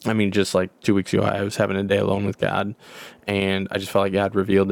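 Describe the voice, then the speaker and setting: A man is speaking. His pitch is fairly low. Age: 30s. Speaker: podcast co-host. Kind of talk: personal testimony. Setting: home closet.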